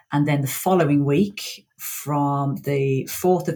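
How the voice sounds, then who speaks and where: A woman with a West Midlands accent, a very deep, low pitch, somewhat breathy, with ordinary pitch variation and a fairly slow pace. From Birmingham, England. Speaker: PowerPoint trainer. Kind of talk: casual chat.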